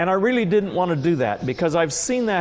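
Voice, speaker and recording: Lively intonation from a man, with noticeable background noise. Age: 60s. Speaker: farmer. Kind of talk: recorded interview. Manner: halting.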